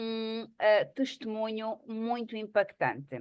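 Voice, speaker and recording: A woman's fairly high, flat and monotone voice against a quiet background. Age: 50s. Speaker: psychologist and network marketing presenter. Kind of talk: online presentation meeting.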